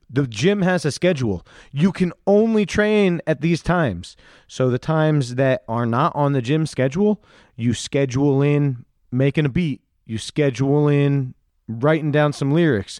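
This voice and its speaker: Against a quiet background, a man with an ordinary speaking voice and fairly high pitch talks at a moderate pace with lively intonation, in a dry, close sound with no echo. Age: 40s. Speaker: podcast host. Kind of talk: casual chat.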